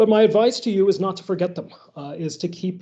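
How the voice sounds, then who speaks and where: A man speaks with an American accent and a dark, mellow tone. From United States. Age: 50s. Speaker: philosophy professor. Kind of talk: workshop lecture.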